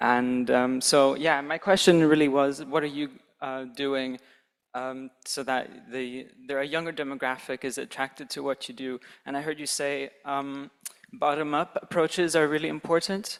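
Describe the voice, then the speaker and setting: A man speaks at a moderate pace, pitched fairly high for a man. He has a normal speaking voice with fairly even intonation. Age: 20s. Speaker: conference audience member. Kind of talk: audience question.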